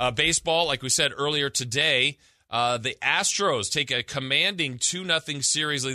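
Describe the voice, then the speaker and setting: Speaking at a moderate pace in an American accent, a man uses a bright, sharp tone with vocal fry and very wide pitch swings. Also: quiet background. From Southern California. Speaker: sports radio host. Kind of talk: sports radio talk show.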